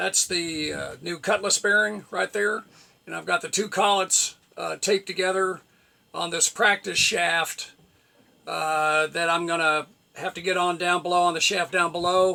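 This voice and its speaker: A high-pitched male voice, bright and sharp in tone, with fairly even intonation at a moderate pace. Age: 70s. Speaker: sailing vlogger. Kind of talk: casual vlog talk to camera. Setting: on a small sailboat. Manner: halting, many fillers.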